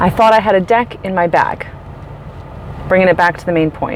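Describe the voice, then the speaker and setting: Noticeable background noise sits behind a woman speaking. She talks at a fairly quick pace with ordinary pitch variation. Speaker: life coach and vlogger. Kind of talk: casual vlog monologue. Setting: in a store while shopping. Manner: loud; animated.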